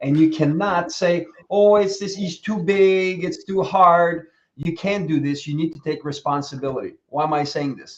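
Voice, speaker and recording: A man's high-pitched voice at a moderate pace, fairly even in intonation but with big swings in loudness. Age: 60s. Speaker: coach. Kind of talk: casual chat.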